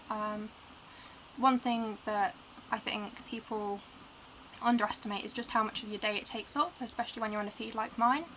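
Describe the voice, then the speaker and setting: A woman with an East Midlands accent speaks at a fairly high pitch and a fairly quick pace, with fairly even intonation. She takes long, frequent pauses. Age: 20s. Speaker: tube-fed patient vlogger. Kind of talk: casual vlog talk to camera.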